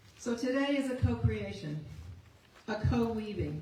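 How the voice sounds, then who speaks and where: A woman with an American accent speaks at a moderate pace. Audible room echo and noticeable background noise surround her voice. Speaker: memorial service host. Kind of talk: memorial service hosting. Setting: stage with audience. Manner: formal.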